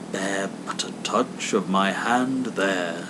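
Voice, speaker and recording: A soft-spoken man in a put-on character voice, fairly low in pitch and very slow, over loud background noise. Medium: read story. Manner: calm, solemn, distant-sounding.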